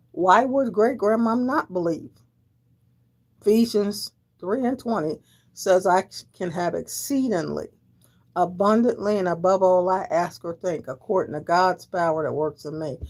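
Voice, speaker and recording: At a moderate pace and a medium pitch, a woman speaks with an animated tone and lively intonation, leaving long, frequent pauses on a very clean recording with a silent background. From Delaware. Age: 60s. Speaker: livestreamer. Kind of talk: casual livestream chat. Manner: animated, repetitive.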